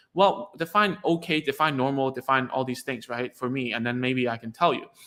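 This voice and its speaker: Very clean recording with a silent background: a man speaks in a Cantonese accent at a fairly quick pace. His tone is bright and sharp, his pitch fairly high, with ordinary pitch variation. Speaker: speech therapist. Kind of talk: live stream talk to parents. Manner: halting, many repeated words.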